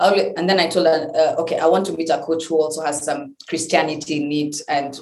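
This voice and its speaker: This woman's voice sits very deep and low in pitch, with fairly even intonation. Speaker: entrepreneur. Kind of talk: interview.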